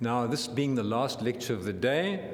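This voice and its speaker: There is noticeable background noise and audible room echo around this man's voice. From Southern Africa (born Zambia, raised Southern Cape). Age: 70s. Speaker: professor of anesthesiology. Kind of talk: lecture.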